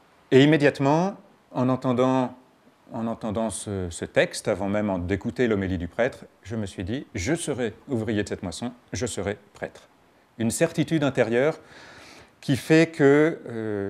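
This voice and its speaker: A man talks in a normal speaking voice at medium pitch and a fairly slow pace. His intonation is lively and his loudness swings widely. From France, Paris region (Garches). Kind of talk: interview testimony.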